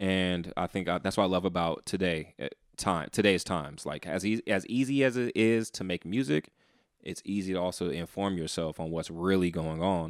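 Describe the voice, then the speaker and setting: Very deep and low, a man's voice moves at a moderate pace with ordinary pitch variation. The recording is very clean, with a silent background. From San Francisco, Fillmore district. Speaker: rapper. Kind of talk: casual chat.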